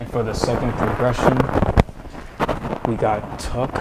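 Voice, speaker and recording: Loud background noise surrounds a man as he speaks at a moderate pace. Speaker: calisthenics instructor. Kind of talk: tutorial. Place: home room. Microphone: camera far.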